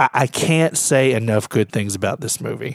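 Recorded very cleanly against a silent background, a man speaks in a Louisiana accent. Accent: Southern US (Louisiana). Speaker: podcast co-host. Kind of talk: casual chat.

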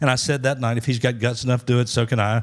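With an American accent, a man talks at a medium pitch in a monotone, flat intonation. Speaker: evangelist. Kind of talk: testimony.

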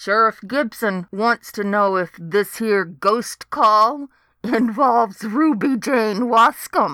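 The very clean recording, with a silent background, carries speech at a very slow pace. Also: woman, fairly high pitch for a woman. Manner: amused, cackling.

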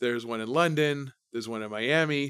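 A man speaks at a fairly quick pace. He has a plain, everyday voice. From Canada, Brandon, Manitoba. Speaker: investment fund manager. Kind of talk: interview.

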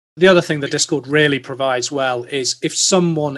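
A man's fairly high voice with a British accent and fairly even intonation. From UK. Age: 40s. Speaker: investor and tech executive. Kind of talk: casual interview.

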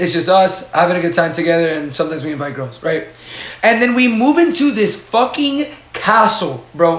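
An animated man talks at a fairly quick pace with very wide pitch swings, audible room echo and noticeable background noise. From Dominican heritage. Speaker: podcast co-host. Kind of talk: casual chat.

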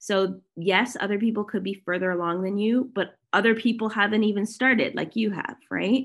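A woman with a Canadian accent has an ordinary speaking voice at medium pitch. She keeps a moderate pace with hardly any pauses. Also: fairly even intonation. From Canada, Toronto. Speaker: digital marketing strategist and sales mentor. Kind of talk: podcast interview.

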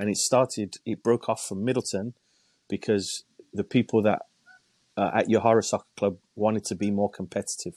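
In an English accent, a man speaks at a moderate pace with a fairly low pitch and fairly even intonation, the sound dry and close with no echo. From England. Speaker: youth soccer coaching director. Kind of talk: casual interview.

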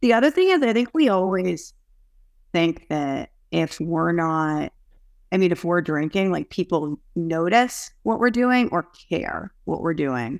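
A woman with an American accent and a normal speaking voice talks fairly slowly in a fairly low pitch with lively intonation, in a very clean recording with a silent background. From US, Boston area. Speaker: recovery advocate. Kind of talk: casual group chat.

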